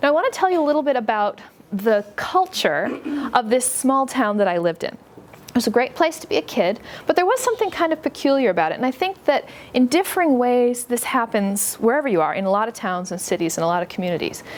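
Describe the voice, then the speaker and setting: Very fast and high-pitched, a woman with an American accent swings her pitch very widely over noticeable background noise. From US, western New York State. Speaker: book author. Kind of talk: talk to an audience. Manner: conversational, friendly.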